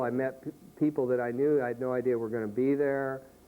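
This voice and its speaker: This man's voice sits at a medium pitch. He keeps a moderate pace and fairly even intonation. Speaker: elementary school teacher and poet. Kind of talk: interview. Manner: halting.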